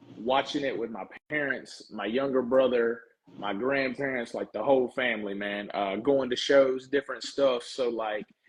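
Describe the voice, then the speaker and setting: With a Southern US accent, a man talks at a moderate pace in a medium pitch. His intonation is fairly even. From US South, small town. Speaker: professional wrestler. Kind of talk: casual interview chat. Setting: live podcast. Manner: casual, relaxed.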